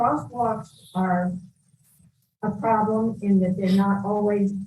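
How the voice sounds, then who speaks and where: Speaking at a very slow pace, a woman has a medium pitch, a dark, mellow tone, fairly even intonation and a somewhat breathy quality. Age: 80s+. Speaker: retired citizen giving public comment. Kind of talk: public comment testimony.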